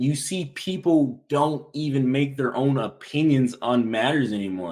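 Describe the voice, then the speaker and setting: This man has an unremarkable speaking voice, pitched fairly high, with ordinary pitch variation and a fairly slow pace. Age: 20s. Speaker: active-duty soldier and content creator. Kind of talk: casual chat.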